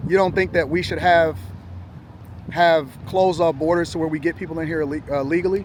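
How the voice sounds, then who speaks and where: Rather brisk talking amid clear background noise. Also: man, high pitch for a man. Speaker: street interviewer and political commentator. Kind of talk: heated debate. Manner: fast; animated.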